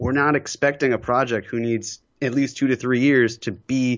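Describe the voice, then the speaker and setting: A man at a fairly quick pace, with monotone, flat intonation. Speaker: podcast guest. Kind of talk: casual chat.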